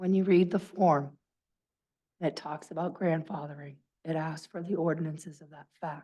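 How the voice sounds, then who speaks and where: Her voice fairly low and her tone dark and mellow, a woman speaks at a moderate pace with fairly even intonation and long, frequent pauses. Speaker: town official. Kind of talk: public hearing.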